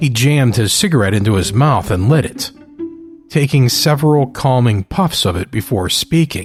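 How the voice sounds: The speaker has a natural reading voice. The intonation is lively.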